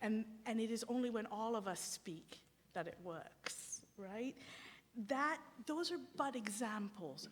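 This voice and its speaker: Speaking very slowly, a woman has a somewhat breathy voice and lively intonation. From Sri Lanka. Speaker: theologian. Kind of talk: academic lecture. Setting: symposium with audience. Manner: halting, with false starts.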